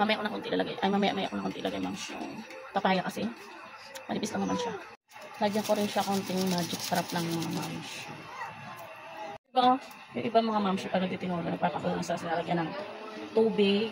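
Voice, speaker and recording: A woman at a very fast pace, with long, frequent pauses, ordinary pitch variation, and noticeable background noise. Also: medium pitch for a woman. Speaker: cooking vlogger. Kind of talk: casual cooking vlog. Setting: outdoors. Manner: halting.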